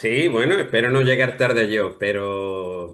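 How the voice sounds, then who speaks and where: A man speaks at a very slow pace. His pitch is fairly low, with ordinary pitch variation. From Andalusia, Spain. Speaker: playwright. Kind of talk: interview.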